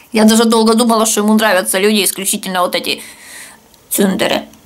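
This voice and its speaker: This woman's voice sits at a fairly high pitch. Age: 30s. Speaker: video blogger. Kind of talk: casual vlog Q&A. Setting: at home, kitchen. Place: home room. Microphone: webcam.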